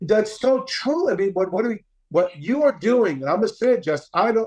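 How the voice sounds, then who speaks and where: The man's intonation is lively. He keeps to a moderate pace. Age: 60s. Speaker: character coach and former youth pastor. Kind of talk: podcast interview. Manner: animated.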